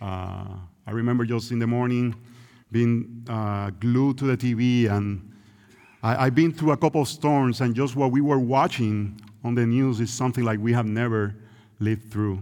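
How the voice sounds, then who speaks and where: With a Puerto Rican accent, a man speaks in a dark, mellow tone and fairly even intonation. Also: medium pitch for a man, moderate pace. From Puerto Rico. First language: Spanish. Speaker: visiting preacher. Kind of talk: sermon. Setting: church.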